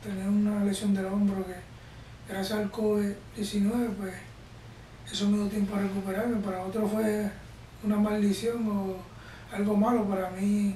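High male voice, monotone and flat, at a fairly slow pace with long, frequent pauses, amid light background noise and audible room echo. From Puerto Rico. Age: 30s. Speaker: Olympic wrestler. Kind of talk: interview. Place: home room.

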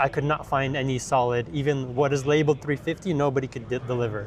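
This man talks at a fairly quick pace, his medium pitch held in fairly even intonation.

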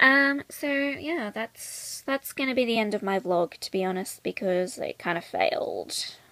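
A croaky woman's voice at medium pitch, bright and sharp in tone, with lively intonation and a fairly slow pace

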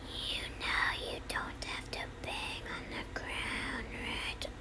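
Someone whispers at a very slow pace in a put-on character voice over loud background noise. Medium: solo performance. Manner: measured, cryptic.

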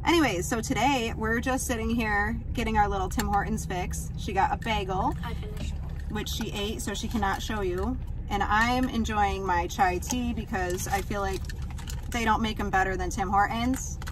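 A woman at a moderate pace, dry sound with no echo, over noticeable background noise. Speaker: mom vlogger. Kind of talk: casual vlog chat. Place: car. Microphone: phone near.

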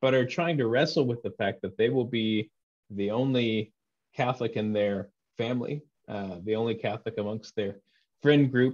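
Over a quiet background, a man speaks at a moderate pace and medium pitch with ordinary pitch variation. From Texas. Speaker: interviewer, former Anglican priest. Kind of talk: interview. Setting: video call. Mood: thoughtful, friendly. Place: home room. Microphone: video call.

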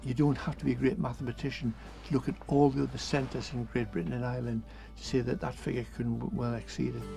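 Clear music plays in the background as a man with a very deep, low pitch talks very fast with very wide pitch swings, the sound dry with no echo. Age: 70s. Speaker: charity founder. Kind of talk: interview; interview answer. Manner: halting. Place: bus.

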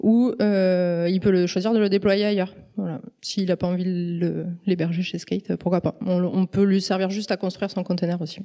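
A woman's medium-pitched, dark, mellow voice in a monotone, flat intonation over a quiet background. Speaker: statistical engineer, conference speaker; conference speaker. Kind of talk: conference talk. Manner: fast. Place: hall. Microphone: handheld.

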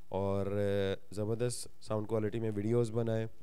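Room echo is audible as a man speaks at a fairly low pitch in a dark, mellow tone. His pace is moderate and his intonation monotone and flat. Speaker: microphone seller. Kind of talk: product demo.

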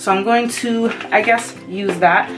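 With faint music in the background, a woman speaks at a moderate pace with ordinary pitch variation. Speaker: beauty vlogger. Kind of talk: casual unboxing vlog chat. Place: home room. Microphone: phone near.

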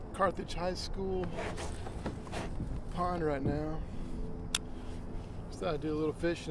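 Loud background noise surrounds speech at a moderate pace. The sound itself is dry, with no echo. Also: man. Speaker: hobby fishing vlogger. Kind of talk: casual vlog chat. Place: waterside. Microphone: camera far.

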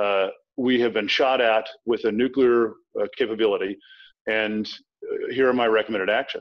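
A man with an American accent speaks in a monotone with flat intonation. He leaves long, frequent pauses against a quiet background. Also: medium pitch for a man, moderate pace. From US South, Tidewater Virginia (Norfolk). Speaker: thriller author, former military officer. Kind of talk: interview. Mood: relaxed, matter-of-fact. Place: home room. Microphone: webcam.

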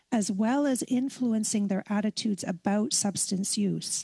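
A woman's dark, mellow, somewhat breathy voice at a moderate pace with fairly even intonation, over a quiet background. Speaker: witness. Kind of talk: testimony answer. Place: home room. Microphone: headset.

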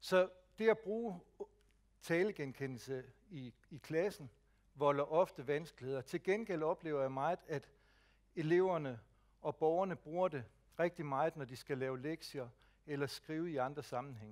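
A man's fairly high voice at a fairly slow pace, with ordinary pitch variation, long, frequent pauses and a quiet background. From Jutland, Denmark; Denmark. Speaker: speech technology advisor; presenter. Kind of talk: lecture. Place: hall.

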